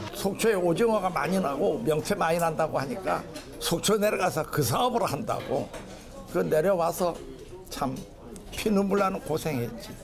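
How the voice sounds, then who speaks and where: Against noticeable background noise and audible room echo, a man talks at a moderate pace with long, frequent pauses. His pitch is high, his intonation lively and his loudness very even. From South Hamgyong, North Korea. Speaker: North Korean war refugee. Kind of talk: interview.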